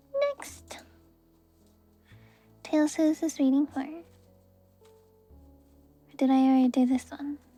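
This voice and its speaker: A soft-spoken woman with a high-pitched, monotone, flat delivery speaks with long, frequent pauses over music in the background. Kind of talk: tarot reading stream to viewers. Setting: livestream with handcam.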